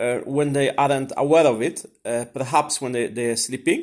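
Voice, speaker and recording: A man of medium pitch with a Swedish accent is heard in a very clean recording with a silent background. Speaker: vlogger. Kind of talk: casual monologue. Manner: halting, many fillers and repetitions.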